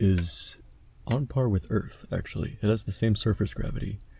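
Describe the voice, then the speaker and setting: A man speaks at a medium pitch and moderate pace with ordinary pitch variation. His dark, mellow tone is somewhat breathy. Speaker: podcast co-host. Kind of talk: casual podcast conversation. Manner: stutters when doing math aloud.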